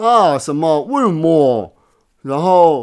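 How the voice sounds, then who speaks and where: In a Taiwanese accent, a man speaks with very wide pitch swings. The recording is very clean, with a silent background. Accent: Taiwanese Mandarin. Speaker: podcast host. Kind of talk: casual monologue. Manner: many filler words; halting, repetitive. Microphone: new microphone.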